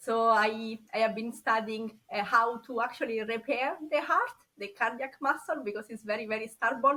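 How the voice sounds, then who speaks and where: A woman with a strong Italian accent, high pitch, bright, sharp tone and ordinary pitch variation. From Italy. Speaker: scientist turned insurance agent. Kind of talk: podcast interview.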